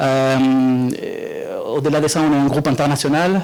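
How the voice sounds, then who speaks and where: Noticeable background noise runs through the clip. A man speaks with a Spanish accent. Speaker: software company representative. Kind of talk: product presentation. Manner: halting, many fillers.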